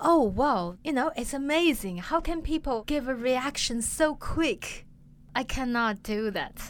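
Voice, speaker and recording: A woman talks at a fairly slow pace with a Chinese accent. Her high voice has lively intonation. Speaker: improv comedian. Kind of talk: interview.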